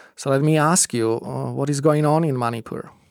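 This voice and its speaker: A man speaks at a medium pitch with a Czech accent and fairly even intonation. The sound is dry and close, with no echo. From Czech Republic. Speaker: podcast host. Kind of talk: casual interview. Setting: studio. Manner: hesitant, many fillers.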